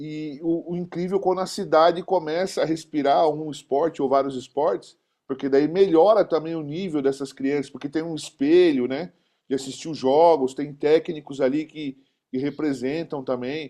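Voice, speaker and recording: A man's dark, mellow voice, fairly high in pitch, with fairly even intonation at a moderate pace against a quiet background. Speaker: basketball community host, physical education teacher. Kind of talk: interview.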